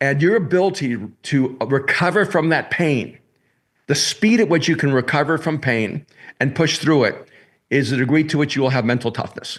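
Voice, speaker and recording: Speaking at a moderate pace over a quiet background, a man with a fairly high pitch has a plain, everyday voice, lively intonation and very even loudness. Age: 60s. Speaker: pastor and author. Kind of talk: podcast interview. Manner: repetitive false starts.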